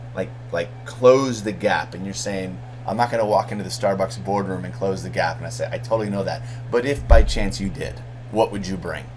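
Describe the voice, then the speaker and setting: The speaker talks at a fairly quick pace in an animated tone, with very wide pitch swings and big swings in loudness, over noticeable background noise and audible room echo. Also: man, fairly low pitch for a man. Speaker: MBA instructor. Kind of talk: recorded lecture to students. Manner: fast; casual, animated.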